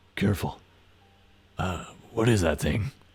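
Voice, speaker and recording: A man puts on a raspy character voice with a fairly low pitch. He speaks at a moderate pace. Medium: actual play. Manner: brash, breezy.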